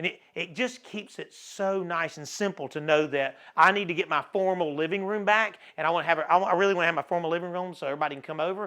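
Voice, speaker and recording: In an American accent, a man talks at a fairly quick pace and high pitch with an animated, bright, sharp tone and ordinary pitch variation, against a quiet background. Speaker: audio-video store owner. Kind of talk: product showcase. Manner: fast.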